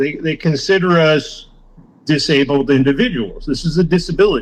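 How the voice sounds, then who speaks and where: This man has an ordinary speaking voice at a fairly high pitch. He speaks at a fairly slow pace, with ordinary pitch variation. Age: 60s. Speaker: former prisoner and recovery worker. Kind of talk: interview testimony. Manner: casual, profane.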